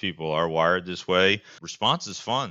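Here is a man with a very deep, low pitch. He has an American accent and fairly even intonation. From Greater Philadelphia area. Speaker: occupational health director. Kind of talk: casual interview.

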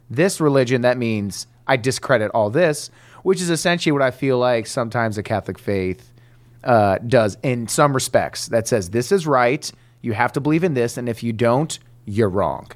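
A man speaks in a plain, everyday voice with an American accent, at medium pitch with ordinary pitch variation and a moderate pace. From Detroit, Michigan. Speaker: comedian. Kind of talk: casual chat.

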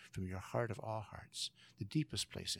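Somewhat breathy and with an American accent, a man talks at a fairly quick pace with very wide pitch swings, recorded dry and close with no echo. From California, San Joaquin Valley. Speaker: professor of theology and leadership. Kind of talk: interview.

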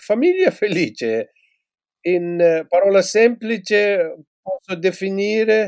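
A man talks very slowly in a dry, close recording that has no echo. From Tibet. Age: 60s. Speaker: former Buddhist monk and teacher. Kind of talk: interview. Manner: halting.

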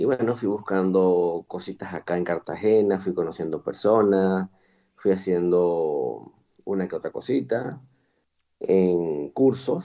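A man's very deep, low voice in a dark, mellow tone, at a very slow pace with ordinary pitch variation. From Venezuela, Andean region (Boconó, Trujillo). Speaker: chef and restaurant owner. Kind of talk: interview.

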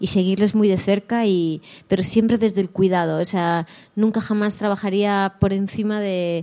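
A woman with a dark, mellow tone talks at a medium pitch and moderate pace, her intonation fairly even. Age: 40s. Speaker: actress. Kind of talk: interview on a live talk show. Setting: stage with live audience.

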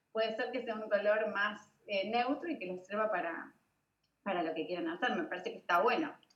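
A woman with a Rioplatense accent, medium pitch, lively intonation and a moderate pace. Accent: Argentine Rioplatense Spanish. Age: 40s. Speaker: digital launch expert and event organizer. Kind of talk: casual interview chat.

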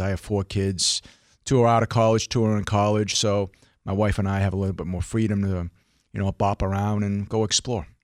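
Speaking at a fairly quick pace in an American accent, a man uses a fairly low pitch and monotone, flat intonation, recorded with a dry, close sound, no echo and a silent background. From Hong Kong, then US. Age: 50s. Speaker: financial advisor. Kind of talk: radio interview.

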